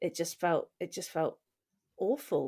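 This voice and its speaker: Recorded very cleanly against a silent background, a woman with a British accent speaks at a fairly low pitch with ordinary pitch variation. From England. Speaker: podcast co-host. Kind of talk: casual conversation, personal story.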